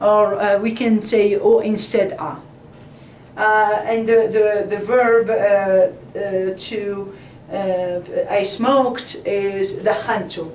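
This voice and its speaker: Speaking very slowly with an Arabic accent, a woman holds a fairly high pitch and fairly even intonation over noticeable background noise and audible room echo. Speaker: Arabic language teacher. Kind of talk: tutorial. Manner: halting.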